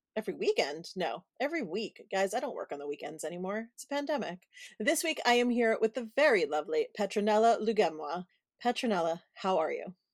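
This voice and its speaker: In an American accent, a woman with a fairly high pitch makes very wide pitch swings and big swings in loudness, recorded dry and close with no echo on a very clean recording with a silent background. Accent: Brooklyn accent deliberately dropped. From Brooklyn, New York City. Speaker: podcast host and event planner. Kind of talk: casual interview chat.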